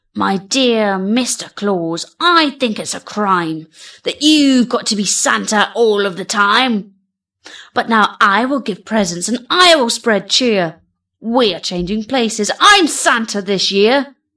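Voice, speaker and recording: A woman uses a put-on character voice with fairly high pitch at a fairly slow pace. The recording is very clean, with a silent background. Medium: read story. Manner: theatrical, earnest.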